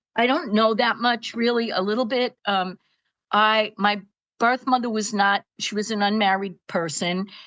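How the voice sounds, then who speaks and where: A woman with a Brooklyn accent, medium pitch and a fairly slow pace, set against a quiet background. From Brooklyn, New York. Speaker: retired school psychologist, seminary graduate. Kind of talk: interview testimony. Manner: halting, many fillers.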